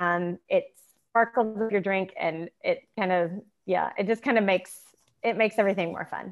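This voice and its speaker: A woman speaks with a US Midwestern accent and fairly even intonation. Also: medium pitch for a woman, moderate pace. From Indiana, US Midwest. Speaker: small business co-owner. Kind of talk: podcast interview.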